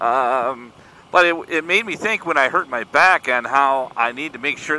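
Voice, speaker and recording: A man's medium-pitched voice with an American accent, a normal speaking voice, ordinary pitch variation and a fairly slow pace. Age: 50s. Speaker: motorcycle vlogger. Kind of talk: casual vlog monologue. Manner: casual, rambling with fillers.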